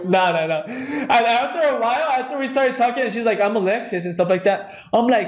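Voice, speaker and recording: Over noticeable background noise and audible room echo, a man talks at a very fast pace in an animated tone and an extremely high pitch. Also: ordinary pitch variation, hardly any pauses. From Mexico, then California Central Valley. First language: Spanish. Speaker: podcast co-host. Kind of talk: casual chat.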